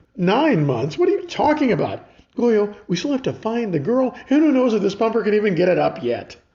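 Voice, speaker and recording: A man puts on a character voice with a high pitch, talking at a fairly quick pace. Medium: read story.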